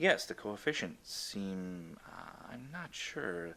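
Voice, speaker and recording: A man puts on a robotic character voice, speaking at a very slow pace with a fairly low pitch. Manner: hesitant, uncertain.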